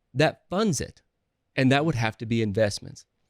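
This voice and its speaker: A man speaks in a Southern US accent. The recording is very clean, with a silent background. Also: dry, close sound with no echo. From US South. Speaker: real estate investor. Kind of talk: podcast interview. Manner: halting, frequent restarts.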